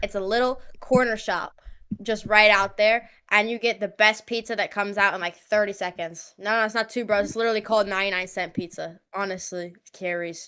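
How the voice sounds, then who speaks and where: Fairly quick and fairly even in intonation, a woman's medium-pitched voice has a bright, sharp tone on a very clean recording with a silent background. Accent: New York. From New York. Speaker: live stream co-host. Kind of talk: casual chat. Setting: live stream.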